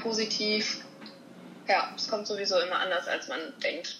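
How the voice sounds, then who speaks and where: Against noticeable background noise, a woman with a fairly high pitch speaks at a moderate pace with fairly even intonation. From Dortmund, western Germany. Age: 20s. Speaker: actress and stuntwoman. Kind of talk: casual interview.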